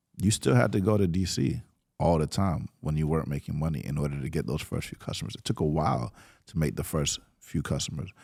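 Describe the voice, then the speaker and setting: A man's very deep, low voice with vocal fry and ordinary pitch variation, delivered at a very fast pace in a very clean recording with a silent background. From Atlanta, US South. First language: Spanish. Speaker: startup founder. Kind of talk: interview conversation.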